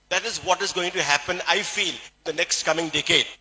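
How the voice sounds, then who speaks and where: Fairly quick in pace, a man talks. His intonation is fairly even. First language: Malayalam. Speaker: doctor and health speaker. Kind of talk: motivational health talk.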